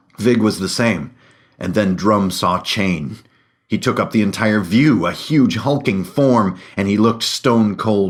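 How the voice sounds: The words come in a natural reading voice. Nothing else stands out.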